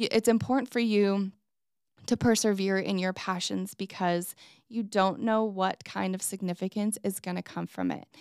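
A woman with a normal speaking voice talks at a moderate pace, with a medium pitch and fairly even intonation. The recording is very clean with a silent background, and the sound is dry and close with no echo. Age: 40s. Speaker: podcast host and mom. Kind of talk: personal monologue.

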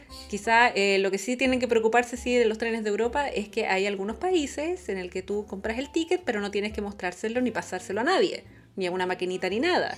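Delivered at a very fast pace with hardly any pauses, the speech has lively intonation and a Chilean accent. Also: woman, fairly high pitch for a woman. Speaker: travel podcast co-host. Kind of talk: casual chat.

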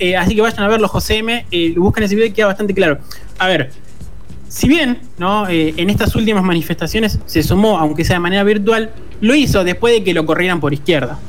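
Over music in the background and audible room echo, a man speaks at a very fast pace in a high pitch with ordinary pitch variation. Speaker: radio host. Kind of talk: casual chat.

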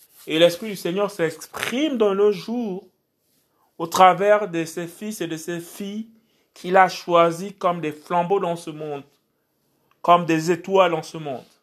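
A man speaks at a very slow pace and high pitch, with long, frequent pauses. The recording is very clean, with a silent background. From Gabon, Port-Gentil. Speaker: preacher. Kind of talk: sermon.

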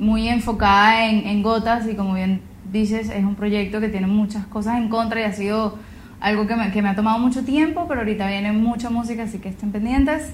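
With audible room echo, a woman talks fairly quickly in a fairly high voice with fairly even intonation. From Venezuela, Gran Sabana region. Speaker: singer-songwriter and environmental activist. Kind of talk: interview. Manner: hesitant, many fillers and repetitions.

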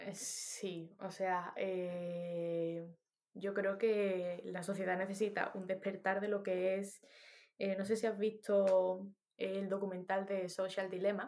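This woman speaks at a very slow pace in a medium pitch, her tone dark and mellow. Her intonation stays monotone and flat. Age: 30s. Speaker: musician. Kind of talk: casual chat.

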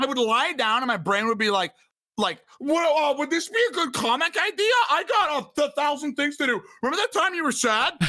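With a raised, projected voice at an extremely high pitch, a man talks at a fairly quick pace, his pitch swinging very widely while his loudness stays very even. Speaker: podcast guest. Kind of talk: casual chat.

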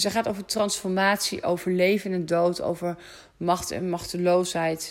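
Speaking at a fairly slow pace, this woman has a medium pitch. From Netherlands, rural polder. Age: 30s. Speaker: astrologer and podcast host. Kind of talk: casual solo podcast monologue. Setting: at home on the sofa. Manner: hesitant, many fillers.

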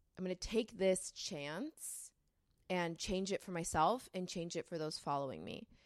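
With an American accent, a woman speaks at a moderate pace and medium pitch. Hers is an unremarkable speaking voice. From California. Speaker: model and creative.

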